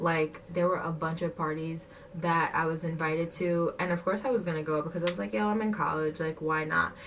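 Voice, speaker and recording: A woman talks in a fairly low voice with ordinary pitch variation and hardly any pauses. Noticeable background noise runs underneath. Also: fairly quick pace. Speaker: vlogger. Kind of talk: casual chat. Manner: animated.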